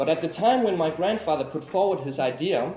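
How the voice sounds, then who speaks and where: Amid audible room echo, a man speaks at a moderate pace with very wide pitch swings. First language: Danish. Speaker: artist-lecturer. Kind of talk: lecture. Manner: formal.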